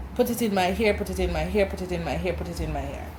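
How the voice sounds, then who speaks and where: A woman speaks with a Jamaican accent. Noticeable background noise can be heard. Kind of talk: casual talk to camera.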